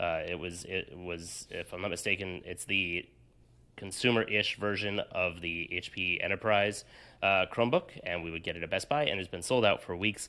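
At a moderate pace, a man with a very deep, low voice speaks with fairly even intonation and a bright, sharp tone. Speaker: tech podcast host. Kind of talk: casual chat. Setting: hotel room. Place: home room. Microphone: studio mic.

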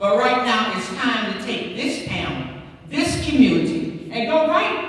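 A woman speaks at a very slow pace amid strong room echo. Her voice swings very widely in pitch and shows big swings in loudness. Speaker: speaker, bishop. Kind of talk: impassioned public address. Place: church.

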